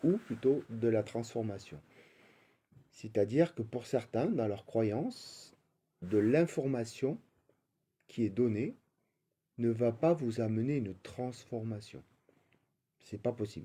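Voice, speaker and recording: In a dark, mellow tone, a man speaks at a medium pitch and a very slow pace, with ordinary pitch variation. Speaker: spiritual coach. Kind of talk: spiritual talk. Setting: live stream. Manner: halting, many fillers.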